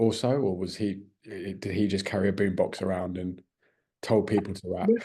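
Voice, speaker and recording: This man has a British accent and a fairly low pitch. His tone is dark and mellow. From Britain. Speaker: music interviewer. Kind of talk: interview.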